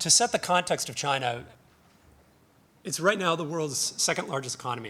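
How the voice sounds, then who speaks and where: Fairly quick, with ordinary pitch variation, the voice has a North American accent. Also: man. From North America (US/Canada). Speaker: conference speaker, financial research analyst. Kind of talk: conference presentation. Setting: conference stage with audience. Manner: casual, hesitant with fillers.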